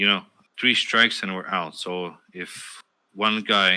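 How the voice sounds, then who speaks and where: A man speaks at a very deep, low pitch with fairly even intonation and a bright, sharp tone. The recording is very clean, with a silent background. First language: not English. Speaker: streamer and podcast host. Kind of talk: casual chat. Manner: hesitant, many fillers.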